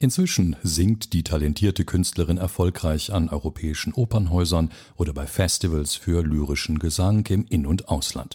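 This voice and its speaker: Somewhat breathy and very deep in pitch, this man's voice has a dark, mellow tone and ordinary pitch variation, heard in a very clean recording against a silent background. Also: moderate pace, hardly any pauses. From Belgium. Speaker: podcast host. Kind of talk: scripted narration. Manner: formal.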